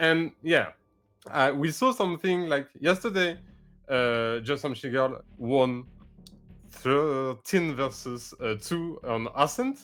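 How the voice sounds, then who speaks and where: A man with a French accent speaks at a very slow pace and a fairly high pitch. His pitch varies in an ordinary way, and the recording is very clean with a silent background. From France. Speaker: esports co-caster. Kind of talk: esports casting / pre-match analysis. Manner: hesitant, many fillers.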